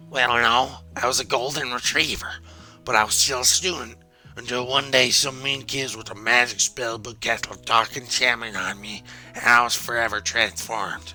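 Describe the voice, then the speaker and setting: Over clear background music, a man at medium pitch uses a put-on character voice at a moderate pace. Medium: game stream. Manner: earnest, slightly formal.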